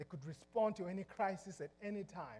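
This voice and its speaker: A man's high voice with a dark, mellow tone, a Zimbabwean accent, lively intonation, and a fairly quick pace. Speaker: pastor. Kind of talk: sermon. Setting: church.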